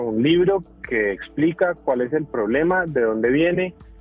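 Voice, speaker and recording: Over music in the background, a man speaks at a fairly slow pace and fairly high pitch with ordinary pitch variation. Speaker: medical doctor and author. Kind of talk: podcast interview. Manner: explanatory, animated.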